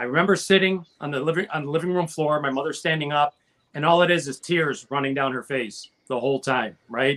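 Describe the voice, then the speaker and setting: Moving at a fairly quick pace, a man with an ordinary speaking voice talks at a fairly high pitch with ordinary pitch variation. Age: 50s. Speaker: panelist on music talk show. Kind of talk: casual chat.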